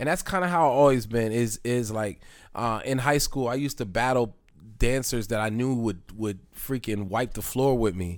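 On a very clean recording with a silent background, a man at medium pitch speaks at a moderate pace with ordinary pitch variation. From Lancaster, Pennsylvania (born in Philadelphia). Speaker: rapper. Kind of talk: casual chat. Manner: halting, repeats words.

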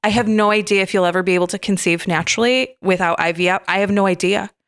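Speaking at a fairly quick pace with an American accent, a woman has an ordinary speaking voice at a medium pitch and fairly even intonation, on a very clean recording with a silent background. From Michigan, US. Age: 30s. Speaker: chiropractic physician. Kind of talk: interview about personal trauma.

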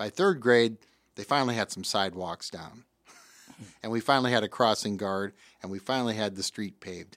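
With a Midwestern US accent, a man speaks at a fairly low pitch with ordinary pitch variation, long, frequent pauses and big swings in loudness, in a dry, close sound with no echo. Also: fairly quick pace, very clean recording, silent background. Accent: US Midwest. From Davenport, Iowa. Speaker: radio host. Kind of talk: casual chat.

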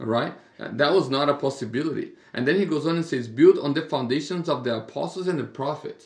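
Somewhat breathy and fairly high-pitched, a man talks at a fairly quick pace. His pitch variation is ordinary. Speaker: pastor. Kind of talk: casual podcast Bible discussion.

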